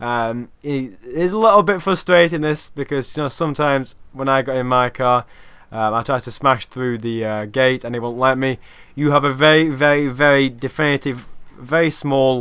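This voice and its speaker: The recording is very clean, with a silent background. A man of medium pitch talks fairly quickly with fairly even intonation. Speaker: gaming YouTuber. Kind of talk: game tutorial. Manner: fast.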